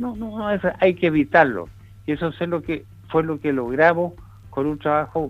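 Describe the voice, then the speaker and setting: Music plays behind a man who talks at a moderate pace with a fairly high pitch and lively intonation. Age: 80s+. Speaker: veteran politician, former minister. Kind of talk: radio interview.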